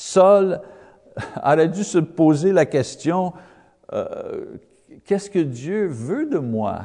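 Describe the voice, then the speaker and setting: A man with a non-native accent, speaking at a very slow pace with long, frequent pauses. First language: English (speaking French). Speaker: Bible teacher. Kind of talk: Bible lesson. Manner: halting, many hesitations.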